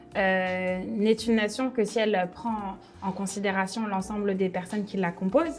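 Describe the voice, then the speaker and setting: A woman talks fairly slowly, her medium pitch varying in an ordinary way, with noticeable background noise behind her. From France. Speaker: startup director and event organizer. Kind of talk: interview. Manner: hesitant with frequent fillers.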